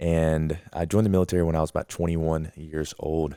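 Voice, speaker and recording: A man with an American accent: very deep, low pitch, a dark, mellow tone, monotone, flat intonation, a moderate pace, and a dry, close sound with no echo on a very clean recording with a silent background. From US South, Alabama. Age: 20s. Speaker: podcast host, military veteran. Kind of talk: casual podcast chat. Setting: studio with camcorders and microphones.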